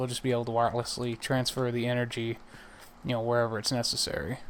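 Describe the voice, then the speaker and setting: Noticeable background noise behind a man with a medium-pitched voice. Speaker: gaming video creator. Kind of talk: let's play commentary.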